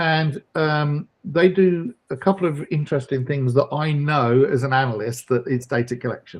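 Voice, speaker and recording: A somewhat breathy man's voice in a British accent, medium in pitch with ordinary pitch variation. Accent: obvious British. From Britain. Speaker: data analyst. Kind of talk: webinar discussion.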